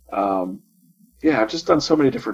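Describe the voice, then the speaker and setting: Music plays in the background as a man speaks. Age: 40s. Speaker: webcomic artist. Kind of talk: casual chat.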